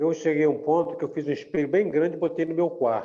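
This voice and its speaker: This man has a dark, mellow tone and a high pitch. He talks at a fairly quick pace with fairly even intonation. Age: 60s. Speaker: church group member. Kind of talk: casual chat.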